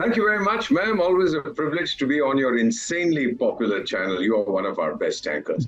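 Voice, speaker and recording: A very fast man with fairly high pitch and very wide pitch swings, music in the background. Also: hardly any pauses. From India. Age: 70s. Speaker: retired diplomat. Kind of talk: TV panel discussion. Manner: animated.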